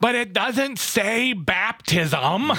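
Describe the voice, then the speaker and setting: Putting on a character voice, a man speaks high in pitch with a raised, projected delivery. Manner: exaggerated, mocking.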